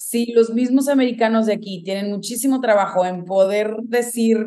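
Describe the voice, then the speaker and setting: A woman with a fairly high, dark, mellow voice talks at a moderate pace with fairly even intonation. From Mexico, Guadalajara. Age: 20s. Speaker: venture capital associate. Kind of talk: interview.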